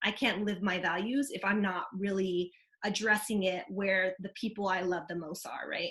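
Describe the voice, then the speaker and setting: The speaker is a woman with a medium pitch. She speaks at a moderate pace. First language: Vietnamese. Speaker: community organizer, panelist. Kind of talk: panel discussion. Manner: casual, conversational.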